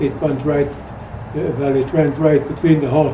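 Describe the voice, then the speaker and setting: A man's fairly high-pitched, fairly slow speech with a Swedish accent, against noticeable background noise and audible room echo. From Sweden. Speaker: retired rancher and trapper. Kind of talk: interview storytelling. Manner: halting.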